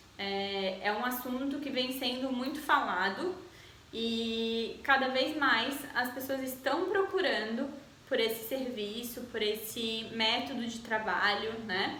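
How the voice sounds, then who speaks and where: A woman speaks very slowly with a high pitch and ordinary pitch variation, with audible room echo and noticeable background noise. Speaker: eyebrow design instructor. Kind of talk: tutorial.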